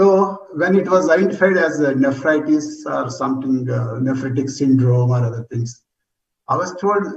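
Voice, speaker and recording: Somewhat breathy and fairly high-pitched, a man speaks at a moderate pace with ordinary pitch variation, and audible room echo surrounds his voice. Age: 70s. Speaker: retired geologist, transplant recipient. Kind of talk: testimony.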